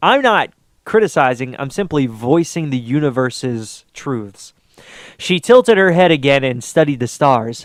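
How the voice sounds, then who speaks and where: Intonation in this clip is lively. The pace is moderate. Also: man, fairly high pitch for a man. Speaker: reader and commentator on writing. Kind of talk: reading aloud with commentary. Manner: halting, self-interrupting.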